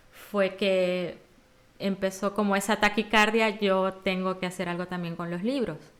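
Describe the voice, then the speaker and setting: An unremarkable speaking voice moves at a fairly slow pace. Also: woman. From Venezuela. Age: 40s. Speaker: children's storyteller. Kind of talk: podcast interview answer.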